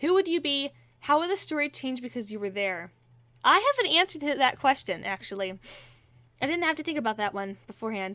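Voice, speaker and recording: A woman projects a raised, high, bright and sharp voice at a fairly quick pace, her pitch swinging very widely. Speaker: aspiring voice actor and YouTuber. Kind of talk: casual Q&A vlog. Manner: unscripted, rambling with fillers.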